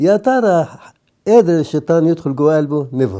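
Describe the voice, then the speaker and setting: A man with a dark, mellow tone speaks at a fairly slow pace with lively intonation. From Egypt. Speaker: priest. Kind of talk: sermon.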